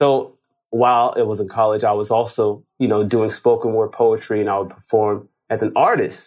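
Against a silent background in a very clean recording, a man with a Los Angeles accent speaks at a moderate pace. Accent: American, Los Angeles. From Los Angeles, Inglewood. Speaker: real estate wholesaler. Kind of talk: interview. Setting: studio.

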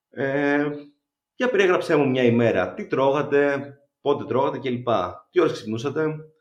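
Audible room echo around a fairly high-pitched man at a fairly slow pace, ordinary pitch variation and long, frequent pauses. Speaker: biochemist and runner. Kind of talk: interview.

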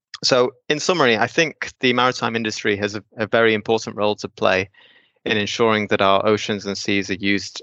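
A man speaks in an unremarkable speaking voice with a fairly low pitch. His pace is moderate and his intonation fairly even. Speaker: marine planning engineer. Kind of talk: interview.

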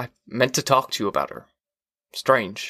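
Using a put-on character voice, a man speaks in a bright, sharp tone with big pitch swings. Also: medium pitch for a man, moderate pace.

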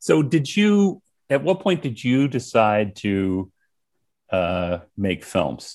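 Over a quiet background, a man at medium pitch speaks at a very slow pace with very wide pitch swings. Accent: American. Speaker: podcast host. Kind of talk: casual interview chat.

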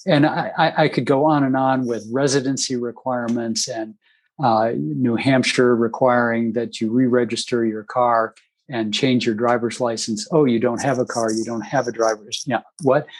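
Man with a normal speaking voice, at a medium pitch and moderate pace, with fairly even intonation. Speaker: political communicator and strategist. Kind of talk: moderated webinar discussion. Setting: video call webinar.

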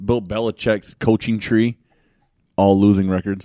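Dry and close with no echo, a man's fairly low, dark, mellow voice with an American accent moves at a moderate pace in monotone, flat intonation. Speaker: podcast co-host. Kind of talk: casual banter. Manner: profane, joking.

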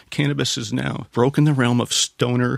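The sound is dry and close, with no echo. A man with vocal fry speaks at a moderate pace. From Canada. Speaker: company executive. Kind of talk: interview.

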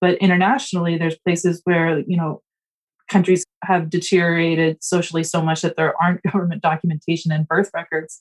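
In an American accent, the speaker talks at a fairly quick pace with monotone, flat intonation, the sound dry and close with no echo. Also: woman, fairly low pitch for a woman. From US South, South Carolina (near Charleston). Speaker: attorney, housing finance policy expert. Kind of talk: interview.

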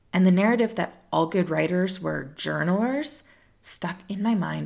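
A woman with a warm tone and vocal fry speaks at a moderate pace in a medium pitch. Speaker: tarot podcast host. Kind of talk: solo podcast monologue. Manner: warm, conversational.

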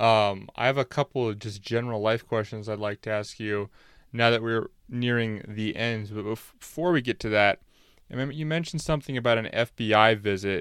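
In a very clean recording with a silent background and a dry, close sound with no echo, a man with an ordinary speaking voice talks at a moderate pace, medium in pitch, with ordinary pitch variation. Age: 20s. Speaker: podcast host. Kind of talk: interview.

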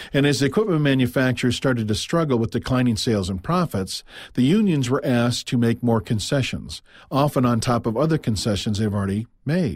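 A man with an American accent talks at a fairly quick pace and medium pitch, his intonation lively and his loudness very even. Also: very clean recording, silent background. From US Midwest, Quad Cities area (Iowa-Illinois). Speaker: business podcast host, sales trainer. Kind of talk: scripted business talk, monologue.

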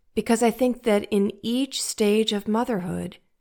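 On a very clean recording with a silent background, a woman with an American accent talks at a fairly slow pace and medium pitch, her pitch varying in an ordinary way. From US Midwest, St. Louis, Missouri. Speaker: podcast host and life coach. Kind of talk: casual monologue.

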